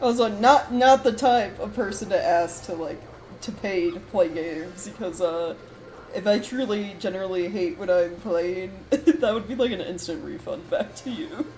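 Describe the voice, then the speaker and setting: A woman mumbles at a moderate pace with lively intonation and big swings in loudness, amid audible room echo and noticeable background noise. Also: medium pitch for a woman. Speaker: vtuber streamer. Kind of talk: casual gaming livestream chat. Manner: mumbling.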